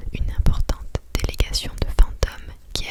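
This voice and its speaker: A woman whispers over noticeable background noise. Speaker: ASMR creator. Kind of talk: whispered ASMR book reading by the fire. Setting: studio with close microphone. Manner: whispered, soft, slow.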